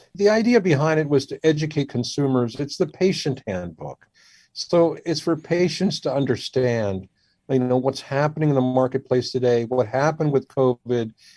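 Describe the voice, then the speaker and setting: An American man speaks at a moderate pace with a fairly high pitch and a dark, mellow tone. His intonation is lively, and the sound is dry and close with no echo. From Washington DC area, US. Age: 60s. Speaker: surgeon. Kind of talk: interview.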